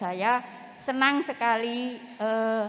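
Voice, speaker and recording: A woman talks very slowly, her pitch sitting fairly high. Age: 70s. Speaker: retired teacher, small craft business owner. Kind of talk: self-introduction at a community forum. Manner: formal.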